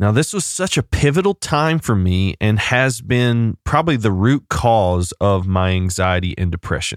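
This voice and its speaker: A man speaks in a plain, everyday voice with lively intonation, very even loudness and a moderate pace, hardly pausing. The recording is very clean with a silent background, and the sound is dry and close with no echo. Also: fairly low pitch for a man. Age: 30s. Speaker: pastor and podcast host. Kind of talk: solo podcast monologue with personal story.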